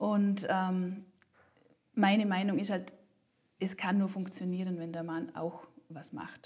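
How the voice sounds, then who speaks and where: A somewhat breathy woman at a very slow pace, with long, frequent pauses and big swings in loudness. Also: medium pitch for a woman, ordinary pitch variation. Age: 30s. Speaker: working mother and coach. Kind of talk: interview. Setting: office. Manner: hesitant, many fillers.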